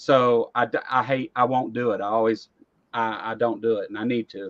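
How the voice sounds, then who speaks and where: A man speaks with a Southern US accent in a bright, sharp tone. The sound is dry and close with no echo, over a quiet background. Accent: rural Southern US accent, noticeable. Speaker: talk show host. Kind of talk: casual chat. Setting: live online stream.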